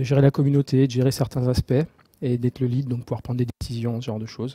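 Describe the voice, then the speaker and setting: Dry and close with no echo, a man's somewhat breathy, dark, mellow voice runs at a very fast pace in a flat monotone. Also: medium pitch for a man. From Marseille, southern France. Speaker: software developer, open source project lead. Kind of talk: technical talk. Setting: meetup talk with audience and microphone. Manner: halting, many filler words and repetitions.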